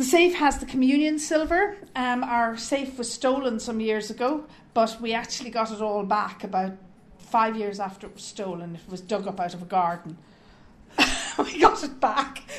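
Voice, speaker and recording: A woman with an Irish accent speaks at a moderate pace in a fairly high pitch, with lively intonation and big swings in loudness. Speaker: parish volunteer. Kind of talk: interview.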